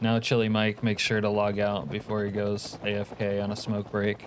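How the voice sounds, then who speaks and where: A man speaks with a fairly low pitch. Noticeable background noise sits behind him. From Alaska. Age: 50s. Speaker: video game streamer. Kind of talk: casual live gaming commentary. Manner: animated.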